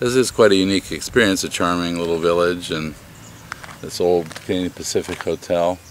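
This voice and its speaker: Amid noticeable background noise, a man with an American accent speaks fairly quickly in a very deep, low pitch with fairly even intonation. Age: 60s. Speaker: inn owner. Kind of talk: interview. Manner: halting, many fillers.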